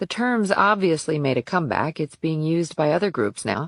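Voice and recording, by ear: A woman puts on a character voice, low in pitch with big pitch swings. The sound is dry and close, with no echo. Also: moderate pace.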